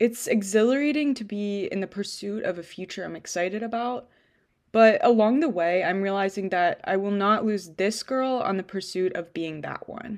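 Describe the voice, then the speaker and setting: On a quiet background, a woman uses an ordinary speaking voice at medium pitch, with a moderate pace and ordinary pitch variation. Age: 20s. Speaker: podcast host and freelance writer. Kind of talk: casual chat; reading aloud.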